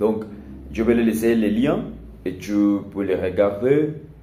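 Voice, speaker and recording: A man's fairly low, dark, mellow voice at a very slow pace, with audible room echo. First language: not French (learner, one year) (speaking French). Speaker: language learner vlogger. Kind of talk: casual monologue vlog. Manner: halting, many hesitations.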